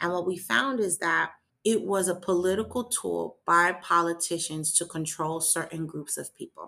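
This woman has an American accent, a fairly low pitch with vocal fry, and a bright, sharp tone. She keeps a moderate pace with ordinary pitch variation. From US, New York City (Manhattan). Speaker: nonprofit executive director. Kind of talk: interview.

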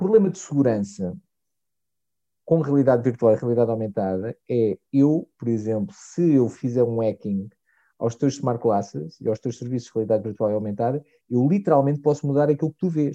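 A man with a European Portuguese accent, medium in pitch and dark, mellow in tone, with lively intonation, big swings in loudness, a moderate pace and a quiet background. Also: dry, close sound with no echo. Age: 40s. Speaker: technology marketing director. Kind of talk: casual interview chat. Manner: halting, many fillers.

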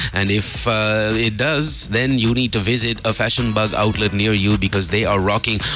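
With music in the background, a man speaks at a fairly low pitch and a moderate pace, with hardly any pauses, fairly even intonation and very even loudness. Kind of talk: radio DJ patter: morning-show banter with time checks, headlines and sponsor plugs. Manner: chatty and casual, with fillers and laughing asides.

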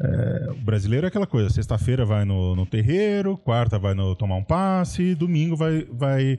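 A man at a medium pitch talks with very wide pitch swings and hardly any pauses. Noticeable background noise is present. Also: moderate pace. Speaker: history podcast co-host. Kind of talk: casual history discussion. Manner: animated, laughs often.

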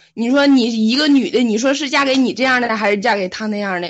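A woman speaks very fast, her fairly high voice rising and falling in an ordinary way. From Liaoning, northeast China (Fuxin). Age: 20s. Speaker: guest. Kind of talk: casual chat.

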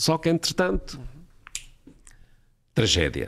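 This man's voice makes very wide pitch swings. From Portugal, Porto. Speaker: airline pilot. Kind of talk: casual chat.

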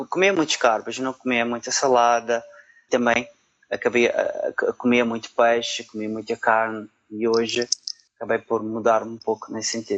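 A man speaks at a moderate pace and medium pitch with fairly even intonation. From Portugal, Madeira island. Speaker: supply chain analyst. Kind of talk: interview. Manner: halting, many fillers.

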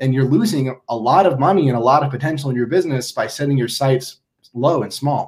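With an American accent, a man talks at a very fast pace in a somewhat breathy voice. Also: medium pitch for a man, ordinary pitch variation. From Minnesota. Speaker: branding agency founder. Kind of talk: interview.

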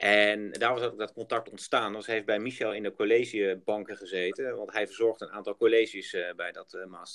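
Talking at a fairly quick pace with hardly any pauses, a man swings widely in loudness. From Netherlands, Groningen. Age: 40s. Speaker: project developer. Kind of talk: business interview. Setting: outdoors on site.

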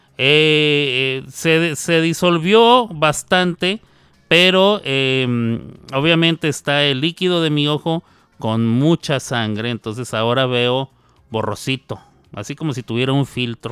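Very slow and lively in intonation, a man's fairly high-pitched voice has a bright, sharp tone and a dry, close sound with no echo. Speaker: radio host. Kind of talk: casual chat. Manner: halting.

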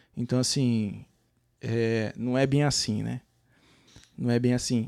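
A man at medium pitch and a fairly slow pace, on a very clean recording with a silent background. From Brazil, São Paulo city. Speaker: cleaning business owner, immigrant. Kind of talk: casual interview. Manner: halting, repeats words.

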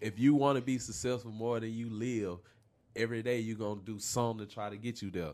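A man at a medium pitch with an American accent, very fast pace and fairly even intonation, in a very clean recording with a silent background. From Chicago, later Riverdale, Georgia. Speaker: music producer and manager. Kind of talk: casual chat.

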